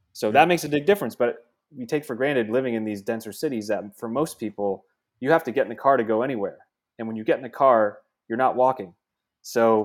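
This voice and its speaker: In a very clean recording with a silent background, a man speaks very fast at a medium pitch with ordinary pitch variation. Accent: New Jersey. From New Jersey. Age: 30s. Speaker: venture capitalist. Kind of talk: casual chat.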